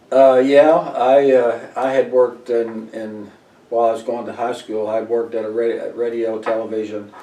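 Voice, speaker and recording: A man with an American accent speaks at medium pitch and a moderate pace, in a monotone, flat delivery. Noticeable background noise and audible room echo are present. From Missouri, US Midwest. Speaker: Air Force veteran. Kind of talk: oral history interview. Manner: halting, many fillers.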